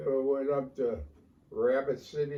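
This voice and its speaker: In an American accent, the speaker goes at a fairly slow pace with monotone, flat intonation. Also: man. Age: 80s+. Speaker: war veteran. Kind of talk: interview answer.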